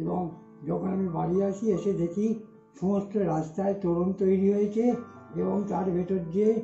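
Faint music plays in the background, and the room has an audible echo. A man with a high pitch speaks in a monotone, flat intonation. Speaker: oral history witness. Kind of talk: oral history recollection. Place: home room. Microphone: earbuds.

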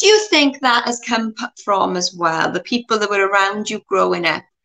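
A woman speaks at a moderate pace in a bright, sharp tone. Her pitch is fairly high with ordinary variation. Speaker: interview show host. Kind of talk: casual interview. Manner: halting, repeats words. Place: home room. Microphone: video call.

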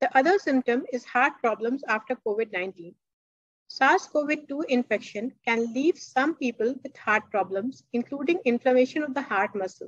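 A woman's high-pitched voice at a moderate pace, dry with no echo, over a quiet background. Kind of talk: lecture.

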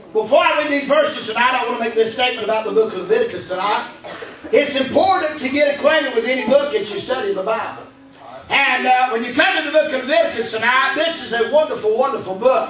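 A man speaks at an extremely high pitch and a very fast pace. Room echo is audible, along with light background noise. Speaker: preacher. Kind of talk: sermon delivered to a congregation. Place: church. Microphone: camera far.

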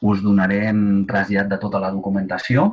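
At a fairly slow pace, an ordinary speaking voice comes through against a quiet background. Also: man. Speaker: webinar moderator. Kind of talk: webinar moderation. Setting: video call. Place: home room. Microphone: video call.

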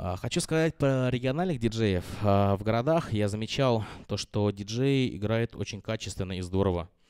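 Against a quiet background, a man speaks at a moderate pace. His pitch is fairly low, with ordinary variation. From Russia, Ulyanovsk; Russia. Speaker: DJ; DJ giving a master class. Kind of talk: master class lecture. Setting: classroom with live audience. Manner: halting, many fillers. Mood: relaxed, conversational. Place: classroom. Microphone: handheld.

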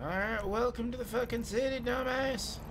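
A man puts on a gruff character voice at an extremely high pitch, speaking at a moderate pace. Loud background noise runs behind him. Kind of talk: hillbilly character acting. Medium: game stream. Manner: crude, profane, gruff.

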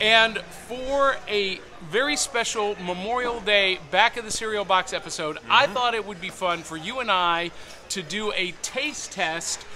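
A man's raised, projected voice at a fairly slow pace, with noticeable background noise. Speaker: podcast host. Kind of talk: casual podcast chat. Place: hall. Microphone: phone near.

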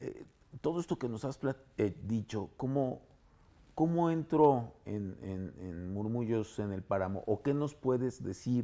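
A man talks at a fairly slow pace in a dark, mellow tone. His pitch swings very widely. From Panama. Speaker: composer and music teacher; music teacher. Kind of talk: interview. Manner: halting. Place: home room.

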